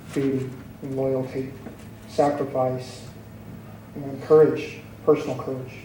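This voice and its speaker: Amid audible room echo and noticeable background noise, a man speaks fairly slowly at a medium pitch with flat, monotone intonation and long, frequent pauses. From Hawaii Island. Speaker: military veteran. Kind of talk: public testimony.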